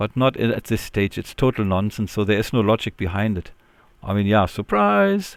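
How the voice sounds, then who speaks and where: The recording is very clean with a silent background as a man speaks at a fairly quick pace. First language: not English. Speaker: linux youtuber. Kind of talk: casual screen-recorded tech commentary. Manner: hesitant, filler-heavy.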